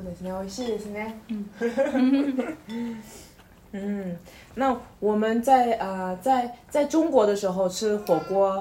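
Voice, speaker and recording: A woman's fairly high voice at a very slow pace, with big swings in loudness. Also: ordinary pitch variation. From China. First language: Mandarin Chinese (speaking Japanese). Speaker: podcast co-host. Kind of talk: casual chat. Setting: home, eating hot pot while recording. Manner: halting, many fillers.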